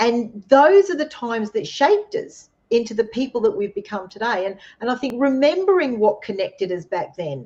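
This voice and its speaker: A woman speaks with an Australian accent at a moderate pace, her pitch fairly high. Her tone is dark and mellow, with very wide pitch swings. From Australia, Queensland (Redcliffe, near Brisbane). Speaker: co-host. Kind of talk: casual chat.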